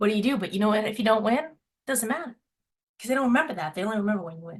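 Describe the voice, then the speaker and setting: A somewhat breathy woman with an American accent speaks with ordinary pitch variation. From Massachusetts, Boston area. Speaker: sales director. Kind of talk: guest talk on video call. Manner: fast.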